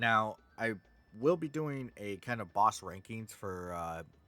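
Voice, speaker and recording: Over music in the background, a man talks at a very slow pace with a fairly low pitch and lively intonation. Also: long, frequent pauses. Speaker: gaming video creator. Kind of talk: casual commentary. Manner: halting.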